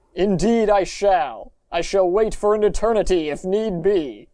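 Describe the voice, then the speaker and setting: In a put-on character voice at a middle pitch, the speaker keeps a moderate pace. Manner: formal, stately.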